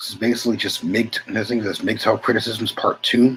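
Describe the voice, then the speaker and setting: Mumbling at a fairly quick pace, a man speaks at a medium pitch. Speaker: channel host reading a text aloud. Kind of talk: casual talk to viewers. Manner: halting. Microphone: poor mic, hard to hear.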